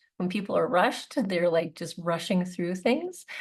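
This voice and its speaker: With a Canadian accent, a woman talks at a medium pitch. Her voice is somewhat breathy, with ordinary pitch variation. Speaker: naturopathic doctor. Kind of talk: webinar talk. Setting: online webinar. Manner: halting.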